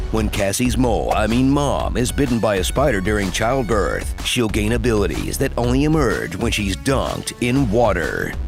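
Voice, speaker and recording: A man with a very deep, low pitch makes very wide pitch swings at a moderate pace, with hardly any pauses. His loudness stays very even while music plays in the background. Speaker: voice actor, trailer narrator. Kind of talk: movie trailer, comedic satirical narration. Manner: sarcastic, snarky, witty.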